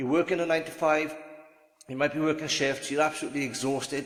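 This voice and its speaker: A man with a Welsh accent, very fast and monotone with flat intonation, over noticeable background noise. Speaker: online business vlogger. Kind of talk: casual vlog monologue, partly from notes. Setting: standing, recording to camera. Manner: conversational, with frequent fillers and restarts.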